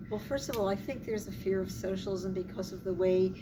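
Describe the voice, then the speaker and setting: A woman with an American accent at a medium pitch and fairly quick pace, with audible room echo and noticeable background noise. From Philadelphia, US Northeast. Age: old. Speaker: civil rights activist. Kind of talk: interview.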